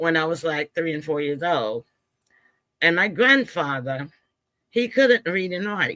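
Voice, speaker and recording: A woman with a fairly low pitch and very wide pitch swings, a bright, sharp tone, a fairly slow pace, long, frequent pauses and a dry, close sound with no echo. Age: 70s. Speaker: author and filmmaker. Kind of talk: interview conversation. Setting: live stream.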